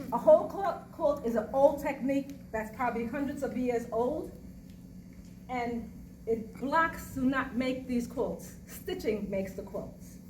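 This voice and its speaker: Audible room echo surrounds the voice. It moves at a fairly slow pace with ordinary pitch variation. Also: woman, high pitch for a woman. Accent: New York. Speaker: quilter. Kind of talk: presentation to audience. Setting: museum talk with live audience.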